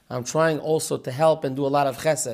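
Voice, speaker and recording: Fairly high for a man, this voice moves at a fairly quick pace. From Israel, Petach Tikva. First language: Hebrew. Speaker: author of Torah books. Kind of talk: interview conversation.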